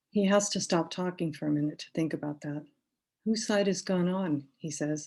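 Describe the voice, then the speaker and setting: This woman has an American accent and a fairly low pitch. Her tone is dark and mellow. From Boston area, US. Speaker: poet. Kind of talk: poetry reading. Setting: virtual reading, video call.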